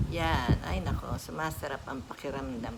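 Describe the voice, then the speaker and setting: Audible room echo and noticeable background noise fill the recording. A woman speaks at a fairly slow pace. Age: 60s. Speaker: vlogger. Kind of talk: casual tutorial vlog. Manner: animated.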